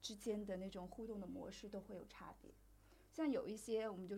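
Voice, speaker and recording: Delivered at a fairly quick pace, the voice has a dark, mellow tone with vocal fry, fairly even intonation and audible room echo. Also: woman. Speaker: podcast host on sex and relationships. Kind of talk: casual chat.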